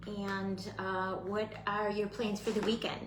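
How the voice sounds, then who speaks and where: Speech comes at a fairly slow pace in an animated tone, with audible room echo and noticeable background noise. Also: woman. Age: 60s. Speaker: craft tutorial host. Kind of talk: live craft tutorial. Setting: livestream. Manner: chatty, animated.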